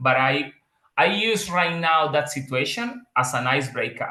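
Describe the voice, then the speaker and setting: Speaking at a moderate pace, a man has a strong Spanish accent. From Colombia, Bucaramanga. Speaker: metallurgical engineer, migrant. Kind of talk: interview conversation.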